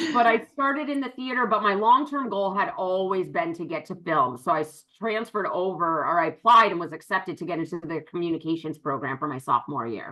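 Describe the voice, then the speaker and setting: Loud and animated, a woman speaks in an American accent at a fairly quick pace. She barely pauses, and her pitch swings very widely. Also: medium pitch for a woman. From western Massachusetts. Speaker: business partner. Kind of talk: interview. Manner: loud, projecting.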